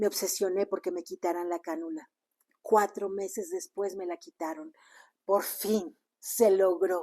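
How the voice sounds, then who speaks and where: A woman with a medium-pitched, dark, mellow tone talks at a fairly slow pace with fairly even intonation, in a dry, close sound with no echo against a quiet background. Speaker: spiritual teacher. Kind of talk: personal testimony. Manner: sudden rises in volume.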